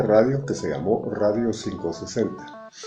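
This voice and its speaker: Noticeable background noise accompanies a man speaking at a fairly low pitch and moderate pace with lively intonation. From Guatemala. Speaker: radio announcer. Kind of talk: interview answer.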